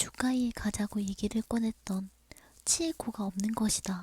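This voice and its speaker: Dark, mellow tone from a woman, fairly high in pitch, with fairly even intonation. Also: dry, close sound with no echo. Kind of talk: horror story narration, ASMR bedtime. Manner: soft, intimate, friendly.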